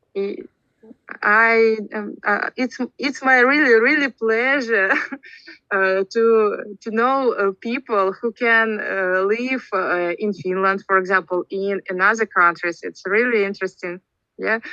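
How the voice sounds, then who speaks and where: With a Russian accent and a bright, sharp tone, the voice moves at a fairly slow pace with ordinary pitch variation, sounding dry and close with no echo. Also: woman, fairly high pitch for a woman. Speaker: English learner in speaking club. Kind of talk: casual chat. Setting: video call. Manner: halting.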